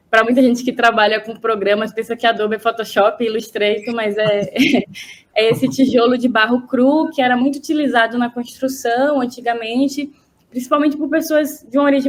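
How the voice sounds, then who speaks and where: High-pitched female speech with fairly even intonation, from a woman. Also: moderate pace. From interior of Bahia, Brazil. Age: 30s. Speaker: visual artist. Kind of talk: interview.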